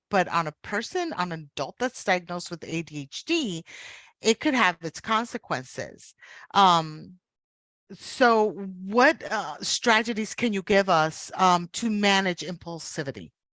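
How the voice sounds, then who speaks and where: A woman speaks at a fairly slow pace and medium pitch, her tone bright, sharp and energetic, with lively intonation and big swings in loudness. The sound is dry and close with no echo, on a very clean recording with a silent background. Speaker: podcast host. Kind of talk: interview.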